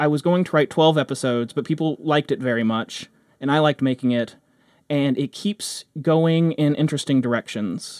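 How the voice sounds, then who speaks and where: Recorded very cleanly with a silent background and a dry, close sound with no echo, a man with an unremarkable speaking voice and an American accent talks at a fairly high pitch with ordinary variation. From Kentucky, US. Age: 30s. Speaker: audio drama creator and composer. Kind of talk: casual podcast talk.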